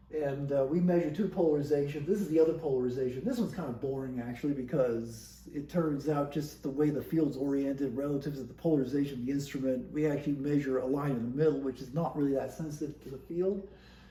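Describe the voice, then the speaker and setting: A somewhat breathy, dark, mellow voice at a very fast pace, with fairly even intonation and hardly any pauses. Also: man, fairly high pitch for a man. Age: 60s. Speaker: scientist working on satellite instrument data. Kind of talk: casual talk to camera.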